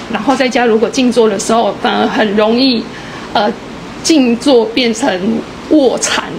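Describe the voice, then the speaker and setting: Over noticeable background noise, a woman talks at a fairly slow pace with fairly even intonation. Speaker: student group leader. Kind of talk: group sharing. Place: hall. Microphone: handheld.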